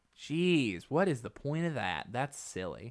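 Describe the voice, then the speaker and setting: A man's fairly high voice with vocal fry and very wide pitch swings. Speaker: podcast host. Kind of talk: casual banter podcast. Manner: chatty, interrupts and overlaps.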